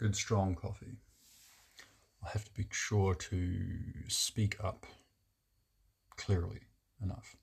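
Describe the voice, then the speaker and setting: With vocal fry and a fairly low pitch, a man speaks very slowly in a flat, monotone way, leaving long, frequent pauses. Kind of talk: casual monologue to camera. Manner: halting, with fillers and restarts; deliberately lowered, resonant voice.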